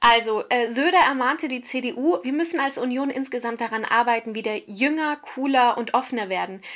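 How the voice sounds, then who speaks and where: Her voice sits high for a woman, with ordinary pitch variation. Noticeable background noise is present. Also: moderate pace. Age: 30s. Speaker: radio presenter. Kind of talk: casual chat. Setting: remote call from hotel room.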